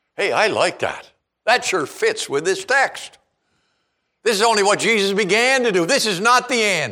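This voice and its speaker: A man projects a raised voice at a moderate pace, with a bright, sharp tone. His intonation is lively and the recording very clean, with a silent background. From Eastern Canada (Charlottetown, Prince Edward Island). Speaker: preacher. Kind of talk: sermon. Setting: church.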